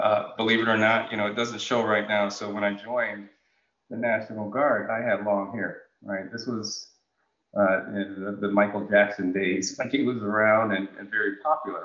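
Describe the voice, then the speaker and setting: This man has a fairly low pitch and an American accent. His intonation stays monotone and flat. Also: moderate pace. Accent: General American with faint Jamaican roots. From Jamaica, then Connecticut. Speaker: utility executive, retired National Guard officer. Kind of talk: interview conversation.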